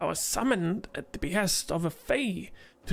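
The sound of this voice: An unforced reading voice carries the recording.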